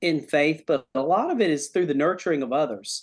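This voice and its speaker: Against a quiet background, a man uses an unremarkable speaking voice at a fairly high pitch. His intonation is lively. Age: 40s. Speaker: pastor. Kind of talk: testimony.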